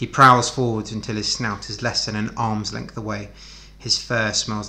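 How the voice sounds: This is a natural reading voice. The speech is delivered as a natural reading voice.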